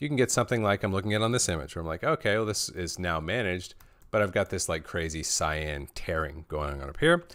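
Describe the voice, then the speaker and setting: Very fast and animated, a man talks at a very deep, low pitch with lively intonation, on a very clean recording with a silent background. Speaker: colorist teaching a live Q&A. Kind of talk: live stream tutorial Q&A. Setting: live stream. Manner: casual, animated.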